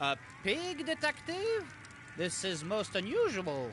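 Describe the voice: A man's put-on character voice, high-pitched and slow, with very wide pitch swings.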